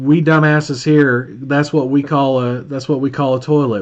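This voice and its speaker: A man's fairly high voice in an Alabama accent. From Alabama, Birmingham. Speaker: pay per call marketing trainer. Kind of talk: live stream Q&A, casual coaching. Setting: live stream with Zoom call. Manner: animated, casual.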